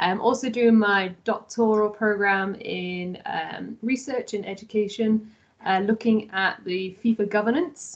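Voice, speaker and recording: A woman speaks in an English accent at a fairly high pitch. Her pace is fairly slow and her intonation fairly even. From England. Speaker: graduate assistant and doctoral student. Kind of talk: online info session. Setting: video call.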